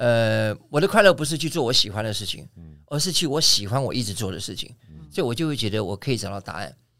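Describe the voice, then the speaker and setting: Very fast and bright with a sharp tone, a man's voice swings very widely in pitch on a very clean recording with a silent background. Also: medium pitch for a man. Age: 60s. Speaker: aerobics instructor. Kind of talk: casual interview chat. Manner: animated.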